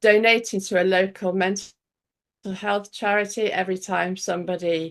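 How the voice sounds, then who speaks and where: In an English accent, a woman speaks at a moderate pace with medium pitch and monotone, flat intonation against a quiet background. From northwest England, Cheshire. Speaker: pyrography artist. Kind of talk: interview. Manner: halting.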